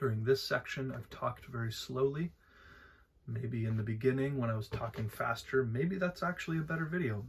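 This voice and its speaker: With ordinary pitch variation and a somewhat breathy quality, the speaking goes at a moderate pace. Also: man. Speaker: vlogger. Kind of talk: casual vlog monologue. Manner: hesitant, many filler words.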